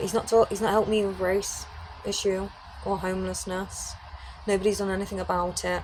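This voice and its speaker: In a British accent, a woman speaks at a moderate pace and medium pitch with monotone, flat intonation, with audible room echo and noticeable background noise. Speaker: criminologist and YouTuber. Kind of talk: casual monologue to camera. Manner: loud.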